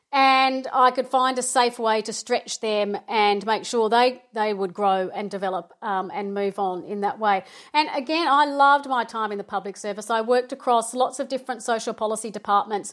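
Barely pausing, a woman with an Australian accent and a fairly high pitch speaks at a moderate pace with ordinary pitch variation in a very clean recording with a silent background. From Melbourne, Australia. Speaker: project management consultant. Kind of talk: interview.

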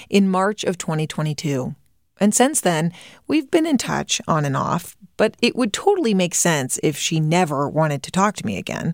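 In an unremarkable speaking voice, a woman talks at a moderate pace with a fairly low pitch and lively intonation. The recording is very clean with a silent background. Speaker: podcast host and reporter. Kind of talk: interview conversation. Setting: studio.

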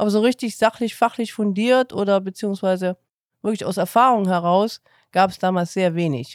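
A woman with a plain, everyday voice speaks at a moderate pace, with medium pitch and ordinary pitch variation. The recording is very clean with a silent background and a dry, close sound with no echo. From Saxony, Chemnitz. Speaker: podcast host, foster parent. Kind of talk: casual chat.

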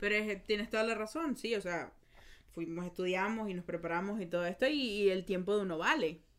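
A woman speaks in a normal speaking voice at a fairly quick pace, her pitch medium. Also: ordinary pitch variation. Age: 20s. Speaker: podcast host. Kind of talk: casual chat.

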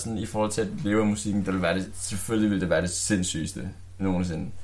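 Audible room echo surrounds a man's fairly low voice as he talks at a fairly quick pace. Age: 20s. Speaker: rapper. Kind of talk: casual chat. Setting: studio.

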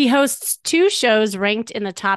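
An ordinary speaking voice from a woman with an American accent, lively intonation and a moderate pace, in a quiet background with dry, close sound and no echo. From US Midwest. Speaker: podcast host and dating coach. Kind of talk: casual interview.

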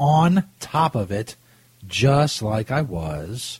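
A man speaks with a somewhat breathy voice. His pitch swings very widely. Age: 30s. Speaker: cannabis radio host. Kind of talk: casual chat. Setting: studio. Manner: animated.

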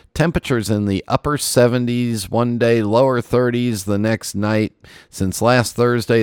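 Dry and close with no echo, a man talks at a moderate pace in an ordinary speaking voice. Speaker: podcast host. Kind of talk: casual chat.

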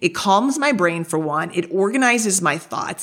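A woman with a normal speaking voice and lively intonation in a very clean recording with a silent background. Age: 50s. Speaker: podcast host and leadership coach. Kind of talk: motivational monologue.

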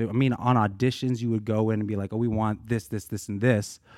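On a very clean recording with a silent background, a man speaks at a fairly quick pace in a dark, mellow, fairly low voice with fairly even intonation. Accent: American. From Boulder, Colorado, US. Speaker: professional dancer. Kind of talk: casual interview.

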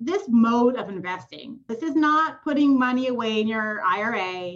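This woman has a Californian accent and a high pitch. Her pitch swings very widely. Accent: Californian American English. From Southern California. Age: 30s. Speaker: real estate investor. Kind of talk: interview conversation.

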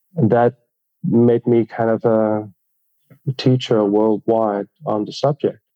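With a Dutch accent, a man speaks at a very slow pace in a fairly low pitch, his intonation fairly even. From southern Netherlands. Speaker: plastic surgeon and injectables trainer. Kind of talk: interview.

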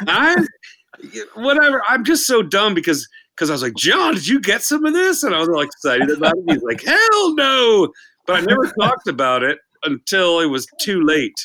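A man's raised, projected voice, high in pitch, with very wide pitch swings at a moderate pace. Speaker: band member. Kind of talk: casual chat, storytelling.

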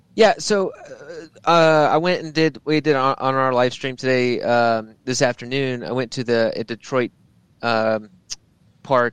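A man with an unremarkable speaking voice talks at a fairly slow pace in a medium pitch with ordinary pitch variation, in a dry, close sound with no echo and a quiet background. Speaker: racer. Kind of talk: casual chat.

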